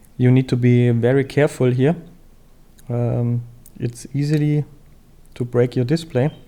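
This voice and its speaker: With a non-native accent, a man talks at a fairly slow pace in a dark, mellow tone, his intonation monotone and flat, broken by long, frequent pauses. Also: medium pitch for a man. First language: not English. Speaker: phone repair tutorial maker. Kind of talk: tutorial. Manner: hesitant, many fillers.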